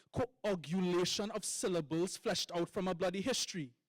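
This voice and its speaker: A man speaks with a Trinidadian accent. The sound is dry and close with no echo, and music plays in the background. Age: young. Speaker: poet. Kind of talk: poetry performance.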